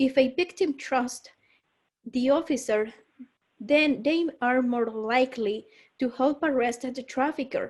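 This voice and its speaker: A woman with a high pitch talks at a fairly slow pace with fairly even intonation and long, frequent pauses. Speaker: trafficking survivor advocate. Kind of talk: testimony. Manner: halting.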